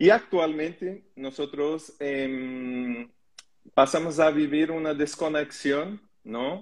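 A fairly high-pitched man's voice with a Portuguese accent, ordinary pitch variation and a very slow pace. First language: Portuguese (speaking Spanish). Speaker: holistic therapist hosting a live stream. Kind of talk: casual panel discussion.

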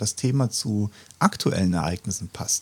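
This man's voice is somewhat breathy with lively intonation. The sound is dry and close, with no echo. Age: 50s. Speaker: pastor. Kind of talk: casual chat.

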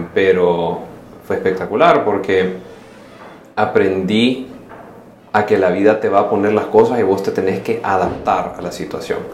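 A man with a Salvadoran accent speaks at a fairly slow pace in a fairly low voice, his intonation fairly even, with long, frequent pauses, audible room echo and noticeable background noise. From El Salvador. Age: 30s. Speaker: social entrepreneur. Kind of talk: casual interview.

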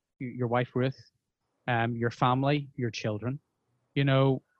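A man with a Northern Irish accent at a fairly slow pace, the sound dry and close with no echo. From Northern Ireland. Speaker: podcast host and broadcaster. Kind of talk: interview conversation.

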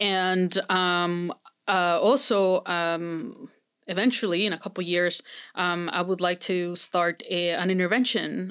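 Someone with a Spanish accent speaks at a fairly slow pace on a very clean recording with a silent background. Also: woman. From Mexico. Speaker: psychology professor. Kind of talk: interview. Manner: many fillers and restarts.

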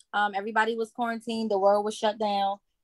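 The recording sounds dry and close with no echo as a woman speaks at a fairly high pitch. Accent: New Jersey. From Newark, New Jersey. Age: 30s. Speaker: nonprofit founder and author. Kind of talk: testimony. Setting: video call.

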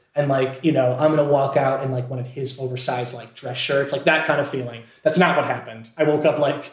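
With audible room echo, a man in an American accent talks at a fairly quick pace, his fairly high pitch held in fairly even intonation. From Scranton, Pennsylvania. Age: 20s. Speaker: actor. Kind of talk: casual chat.

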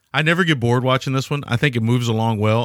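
A man speaks in a plain, everyday voice at medium pitch with ordinary pitch variation, recorded very cleanly with a dry, close sound, no echo and a silent background. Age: 40s. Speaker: film podcast host. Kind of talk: casual chat.

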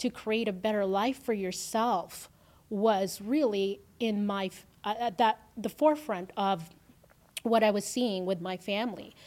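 Fairly slow speech from a woman in a Filipino accent, fairly high in pitch with ordinary pitch variation, on a very clean recording with a silent background. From Philippines, then Canada from age ten. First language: Filipino language. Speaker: entrepreneur, agency owner. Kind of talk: interview.

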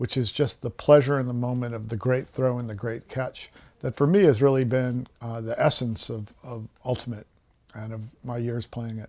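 A man talks at a moderate pace in a medium pitch with an ordinary speaking voice. The recording is very clean, with a silent background. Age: 50s. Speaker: nature writer. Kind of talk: interview.

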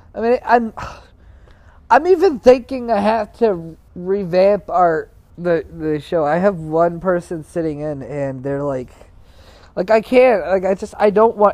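Pitched high for a man, his dark, mellow voice moves at a fairly slow pace with lively intonation. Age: young. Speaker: podcast host. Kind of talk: casual monologue. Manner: halting.

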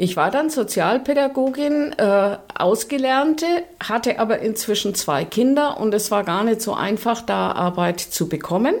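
A woman has an unremarkable speaking voice, fairly high in pitch, with lively intonation. She keeps very even loudness at a fairly slow pace. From Nuremberg, Franconia. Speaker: social worker, longtime communist party member. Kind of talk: personal testimony interview.

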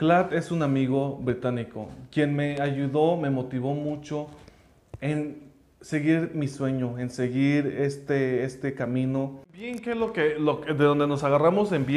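Audible room echo around fairly slow speech with ordinary pitch variation. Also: man. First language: English (speaking Spanish). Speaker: language school founder. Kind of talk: personal story monologue.

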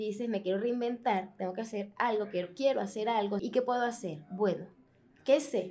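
Here is an ordinary speaking voice from a woman, pitched fairly high. She talks at a fairly quick pace with ordinary pitch variation. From Venezuela. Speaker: podcast host. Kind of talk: interview.

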